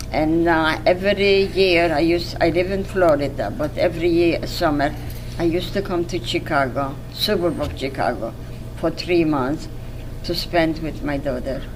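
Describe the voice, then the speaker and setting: A woman speaks at a fairly slow pace, her pitch fairly low with ordinary variation. Audible room echo and noticeable background noise surround her voice. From Poland. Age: 80s+. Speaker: Holocaust survivor. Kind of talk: testimony. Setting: museum interview. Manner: halting.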